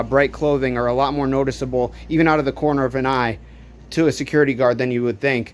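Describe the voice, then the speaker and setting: Intonation stays fairly even as a man speaks at a fairly quick pace. There is light noise in the background. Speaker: urban exploration vlogger. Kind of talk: casual vlog tutorial. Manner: fast; hesitant with many fillers. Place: home room. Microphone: phone near.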